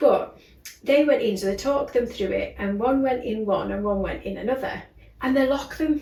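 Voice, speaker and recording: Against noticeable background noise and audible room echo, a woman talks at a high pitch with ordinary pitch variation. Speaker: wellness clinic co-owner and podcast co-host. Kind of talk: casual chat. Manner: fast.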